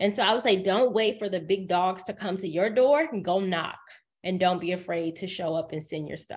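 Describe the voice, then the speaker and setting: In an American accent, a woman talks at a moderate pace, at a medium pitch with ordinary pitch variation. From US South, Decatur, Georgia. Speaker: writer, media personality and professional speaker. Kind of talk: interview. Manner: speeds up when excited.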